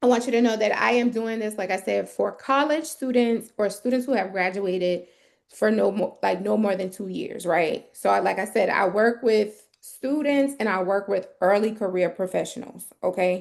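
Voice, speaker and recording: A woman with a medium pitch, ordinary pitch variation and an American accent. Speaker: resume writer. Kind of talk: live stream advice. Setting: livestream. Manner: fast.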